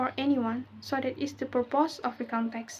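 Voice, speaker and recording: A woman with an American accent talks at a fairly slow pace and fairly even intonation. Her voice is high-pitched with a dark, mellow tone. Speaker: english education student. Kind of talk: class presentation. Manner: halting.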